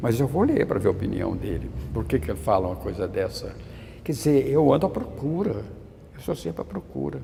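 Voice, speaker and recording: A man talking at a fairly quick pace. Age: 80s+. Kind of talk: interview. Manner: halting, with frequent stammered restarts.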